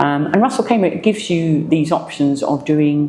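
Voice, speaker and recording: Through noticeable background noise, a woman with an English accent speaks in a very deep, low pitch. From England. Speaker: business owner. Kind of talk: interview. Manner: halting.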